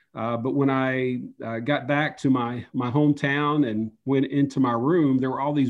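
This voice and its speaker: A man with an Appalachian accent, at a moderate pace and with fairly even intonation. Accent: Appalachian Southern US. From US South, Upper East Tennessee. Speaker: underwater photojournalist. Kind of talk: interview. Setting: video call.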